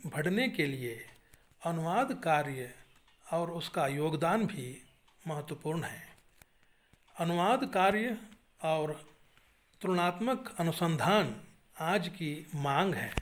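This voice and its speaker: Speaking with a Kannada accent, a high-pitched man uses lively intonation with long, frequent pauses. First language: Kannada (speaking Hindi). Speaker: Hindi teacher and writer. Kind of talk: webinar talk. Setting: online webinar. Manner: formal.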